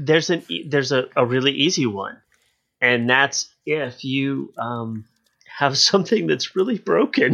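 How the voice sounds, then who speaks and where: Over a quiet background, a man speaks at a fairly slow pace and fairly high pitch. His is a normal speaking voice with lively intonation. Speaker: podcast co-host. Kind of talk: casual banter and discussion.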